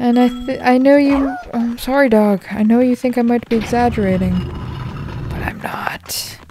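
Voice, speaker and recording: Noticeable background noise is present. The speech goes at a moderate pace. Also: woman, high pitch for a woman. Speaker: gaming commentator. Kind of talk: let's play commentary. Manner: animated.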